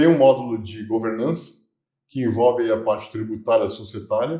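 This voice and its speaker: This man's medium-pitched voice is somewhat breathy, dark and mellow in tone, delivered at a moderate pace. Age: 60s. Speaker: business consultant. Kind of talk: interview.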